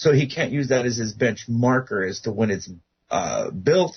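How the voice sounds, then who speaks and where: Somewhat breathy, this voice keeps a moderate pace and ordinary pitch variation. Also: man. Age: 60s. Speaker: guest researcher on ancient pyramids. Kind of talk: radio interview. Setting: radio show.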